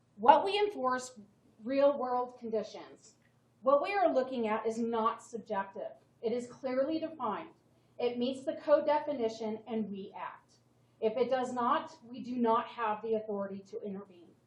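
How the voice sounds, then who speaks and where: At a moderate pace, the speech shows big swings in loudness, with audible room echo and noticeable background noise. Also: woman, high pitch for a woman, lively intonation. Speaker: town code enforcement officer. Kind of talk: staff presentation to town council. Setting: town council meeting.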